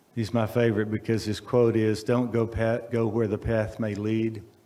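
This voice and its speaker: With a Texan accent, a man speaks at a moderate pace in a medium pitch, his dark, mellow tone staying monotone and flat. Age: 70s. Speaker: speaker at a college event. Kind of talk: speech at a ribbon cutting.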